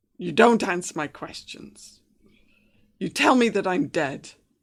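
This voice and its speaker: This is a put-on character voice that sounds raspy. The pace is fairly slow. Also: female-sounding voice, medium pitch for a woman. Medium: actual play. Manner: accusing, defensive.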